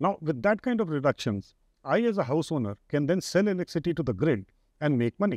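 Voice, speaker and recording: Against a quiet background, a man talks at a very fast pace, his loudness very even and the sound dry with no echo. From India. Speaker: energy sector executive; guest. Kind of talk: interview. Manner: halting. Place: studio. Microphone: lapel.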